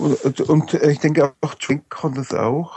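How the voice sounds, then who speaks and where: A man speaks with fairly even intonation. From Upper Franconia, Germany. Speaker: fan forum administrator, autograph collector. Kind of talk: casual chat.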